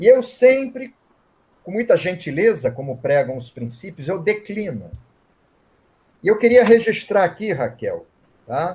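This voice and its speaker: Pitched high, a man talks at a fairly slow pace with very wide pitch swings, big swings in loudness, and long, frequent pauses. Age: 60s. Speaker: reiki master and author. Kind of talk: interview at online event. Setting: online live event.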